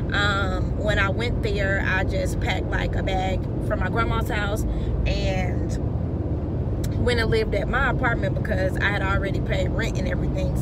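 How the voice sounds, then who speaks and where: A woman talks at a moderate pace, her sound dry with no echo, against loud background noise. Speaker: vlogger. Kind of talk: casual vlog chat. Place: car. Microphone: phone near.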